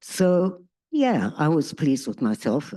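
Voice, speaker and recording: Dark, mellow tone from a woman over a quiet background. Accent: South African. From South Africa. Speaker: peace activist, bereaved parent. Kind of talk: testimony. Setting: stage with audience.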